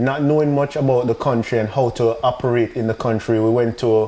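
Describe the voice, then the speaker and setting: With a Jamaican accent, a man at a medium pitch talks at a fairly quick pace with fairly even intonation. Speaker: business owner, entrepreneur. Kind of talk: podcast interview. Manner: halting.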